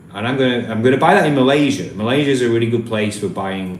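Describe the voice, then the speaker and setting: Someone with a Yorkshire accent speaks at a fairly quick pace, with audible room echo and noticeable background noise. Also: man. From Yorkshire, northern England. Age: 30s. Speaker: travel vlogger. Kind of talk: live stream Q&A. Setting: live stream. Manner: casual, hesitant with repetitions.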